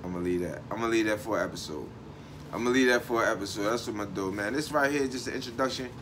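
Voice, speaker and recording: Talking at a very fast pace, a man with medium pitch and ordinary pitch variation is heard amid audible room echo and noticeable background noise. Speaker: online show host. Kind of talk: casual monologue. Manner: frequent pauses while thinking; relaxed.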